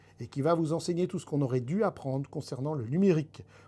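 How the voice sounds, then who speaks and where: In a very clean recording with a silent background, a man speaks with lively intonation. His tone is dark, mellow and somewhat breathy. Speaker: podcast host. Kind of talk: podcast monologue partly read from script. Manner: animated.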